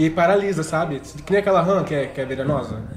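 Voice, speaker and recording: Audible room echo with music in the background. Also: man. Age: 20s. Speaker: podcast co-host. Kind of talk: casual chat.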